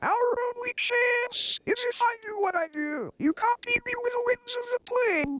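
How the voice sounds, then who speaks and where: Shouting in a put-on character voice at an extremely high pitch, the speaker keeps a moderate pace with hardly any pauses. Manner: yelling, panicky.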